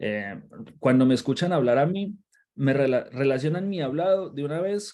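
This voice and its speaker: Delivered with a Colombian accent, the speech has very wide pitch swings. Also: man. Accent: Colombian accent, noticeable. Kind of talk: Bible study livestream. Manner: halting, frequent repetitions.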